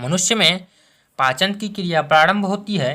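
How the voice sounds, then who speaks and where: A man projects a raised voice, high in pitch with a bright, sharp tone and ordinary pitch variation, in a very clean recording with a silent background. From Bihar, India. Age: 20s. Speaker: teacher. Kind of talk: exam-prep lesson to camera.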